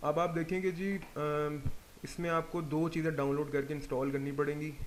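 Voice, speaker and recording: With fairly even intonation and a fairly high pitch, a man talks at a moderate pace. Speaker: 3D software instructor. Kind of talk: tutorial.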